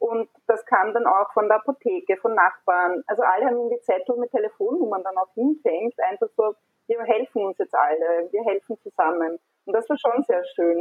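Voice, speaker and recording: With a normal speaking voice, a woman talks at a moderate pace in a fairly high pitch, her intonation lively. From Austria, Burgenland. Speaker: communication designer, parent. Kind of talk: casual chat. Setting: online call from home.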